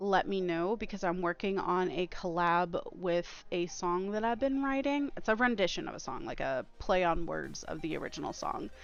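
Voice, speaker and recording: Over music in the background, a woman speaks at a medium pitch and a moderate pace with lively intonation and hardly any pauses. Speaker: streamer. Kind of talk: live gaming stream chat.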